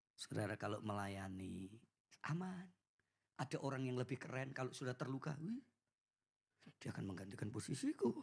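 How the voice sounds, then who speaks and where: The speaker talks at a fairly quick clip in an animated tone. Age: 40s. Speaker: preacher. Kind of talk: sermon.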